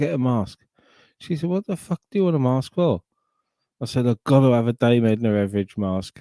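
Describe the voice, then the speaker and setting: A man talks at a fairly quick pace in a dark, mellow tone. The recording is very clean and dry, close-sounding with no echo and a silent background. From southern England, Sussex. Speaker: livestream host. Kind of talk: casual chat. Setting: live stream.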